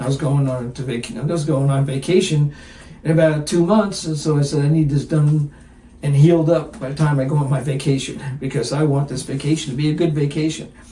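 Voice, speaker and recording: Fairly even intonation and a fairly quick pace come through over noticeable background noise. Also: man, fairly high pitch for a man. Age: 70s. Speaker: firefighter. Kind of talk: interview answer. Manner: casual, candid.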